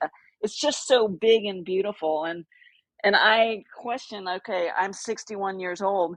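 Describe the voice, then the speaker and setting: An ordinary speaking voice from a woman with an American accent, medium pitch, ordinary pitch variation and a fairly slow pace, in a dry, close sound with no echo. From Texas, Austin. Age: 60s. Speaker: outdoor adventure writer. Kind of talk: casual interview chat.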